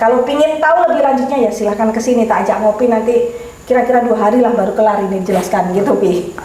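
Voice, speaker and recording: A woman's fairly high voice races along at a very fast pace over noticeable background noise and audible room echo. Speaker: keris collector discussing heirloom daggers. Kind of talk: casual chat. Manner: blunt, direct.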